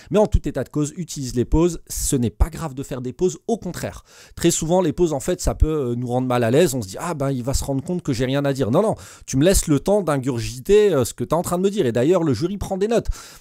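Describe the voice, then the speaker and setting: A man at a very fast pace, fairly high in pitch, with lively intonation, a dark, mellow tone and a quiet background. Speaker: teacher and exam coach; teacher giving exam advice. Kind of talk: tutorial. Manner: hesitant with many fillers. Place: home room. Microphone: studio mic.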